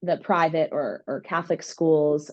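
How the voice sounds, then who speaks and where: A woman with an American accent has an unremarkable speaking voice. She talks at a fairly slow pace with fairly low pitch. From US Northeast (Long Island, New York). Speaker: music therapist. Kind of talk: podcast interview.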